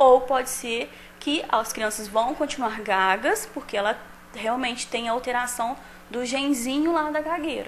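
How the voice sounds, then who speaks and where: Over light background noise, a woman with a high voice speaks at a fairly slow pace with ordinary pitch variation. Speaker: speech-language therapist, expert interviewee. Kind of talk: expert interview answer on the street-report segment. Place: office. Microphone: handheld.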